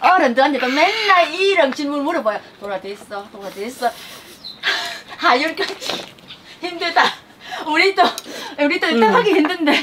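A woman's high-pitched voice at a moderate pace, with very wide pitch swings, big swings in loudness, long, frequent pauses and noticeable background noise. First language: Vietnamese (speaking Korean). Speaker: family vlogger. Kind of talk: casual family vlog talk.

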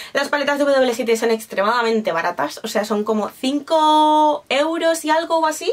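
With hardly any pauses, a woman talks at a moderate pace in a high voice, her intonation lively and her loudness very even. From Spain. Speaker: beauty YouTuber. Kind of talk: product review vlog. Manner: animated. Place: home room.

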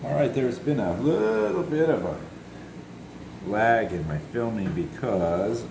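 Over noticeable background noise, a man speaks in a fairly low pitch at a moderate pace. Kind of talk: tutorial. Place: garage. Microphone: phone near.

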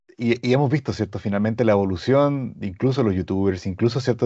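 With a Chilean accent, a man talks in a dark, mellow tone and ordinary pitch variation against a quiet background. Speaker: audio brand representative. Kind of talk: product webinar. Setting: video call. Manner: halting. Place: home room. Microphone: lapel.

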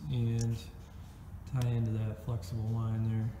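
Noticeable background noise sits behind the speech. A man talks at a fairly slow pace. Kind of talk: tutorial. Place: garage. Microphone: phone near.

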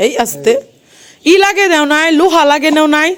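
With a high pitch and a fairly bright tone, a woman talks at a fairly quick pace, her pitch swinging very widely.

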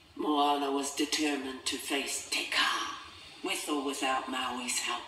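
With audible room echo, the voice moves at a slow pace in a bright, sharp tone with fairly even intonation.

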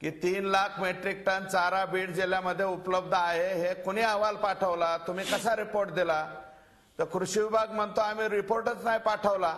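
Pitched high, a man's voice stays monotone and flat. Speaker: guest. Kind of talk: debate argument. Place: studio. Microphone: lapel.

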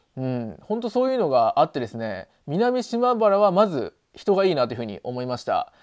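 Against a quiet background, a high-pitched man talks at a fairly quick pace with hardly any pauses, his pitch swinging very widely. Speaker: video blogger living in the countryside. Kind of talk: casual vlog chat. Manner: casual, chatty, with many fillers. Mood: friendly, upbeat. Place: home room. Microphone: lapel.

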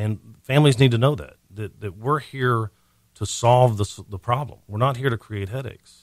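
In an American accent, this unremarkable speaking voice moves at a fairly quick pace with ordinary pitch variation. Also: man. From Montgomery County, Texas. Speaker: senior care business owner. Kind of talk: radio interview. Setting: radio studio.

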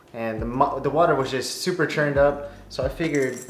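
At a fairly quick pace and with fairly even intonation, the voice comes through light background noise and audible room echo. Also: man. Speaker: fishing video creator. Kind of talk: casual vlog chat. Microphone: camera far.

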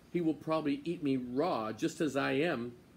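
A man's pitch varies ordinarily as he talks at a fairly slow pace. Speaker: storyteller. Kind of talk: read-aloud story narration. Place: garden. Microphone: phone near.

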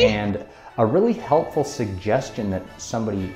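Against faint background music and audible room echo, a man with a fairly low voice speaks at a moderate pace. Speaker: college professor. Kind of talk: casual talk to camera. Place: home room. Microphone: phone near.

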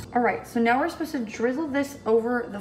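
Music in the background, audible room echo, and ordinary pitch variation. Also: woman. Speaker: home baker vlogger. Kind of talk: casual vlog chat. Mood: cheerful, chatty. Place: kitchen. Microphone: phone near.

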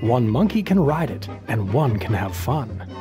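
A man talks at a very slow pace, his pitch fairly low and his intonation lively. Music plays in the background. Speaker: voice actor and parent narrator of children's books. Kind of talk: children's picture book reading.

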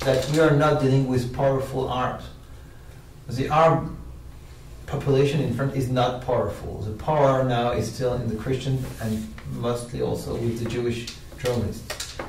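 A man talks at a moderate pace with fairly even intonation. There is audible room echo and light background noise. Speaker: interview guest, media analyst. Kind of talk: interview answer. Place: studio.

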